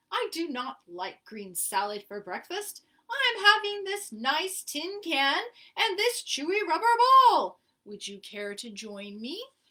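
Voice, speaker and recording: In a put-on character voice, a woman speaks at an extremely high, squeaky pitch, fairly slowly, with very wide pitch swings. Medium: read story.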